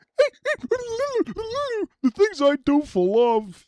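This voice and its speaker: The speaker puts on a character voice. The pitch sits extremely high. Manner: whiny, fearful.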